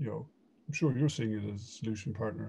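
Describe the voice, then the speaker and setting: Music plays behind a man with an Irish accent. His pitch variation is ordinary. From Ireland. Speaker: e-commerce consultant. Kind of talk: casual interview.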